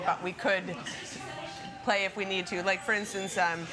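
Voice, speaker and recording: Crowd noise fills the background as a woman talks. She keeps a moderate pace and fairly even intonation. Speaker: interviewee. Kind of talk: interview answer. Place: cafe. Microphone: camera far.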